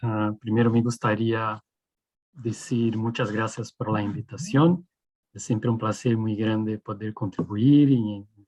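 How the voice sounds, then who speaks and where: Ordinary pitch variation in a man's medium-pitched voice, at a fairly slow pace. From Brazil. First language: Portuguese (speaking Spanish). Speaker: food engineering professor. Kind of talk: academic lecture. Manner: halting.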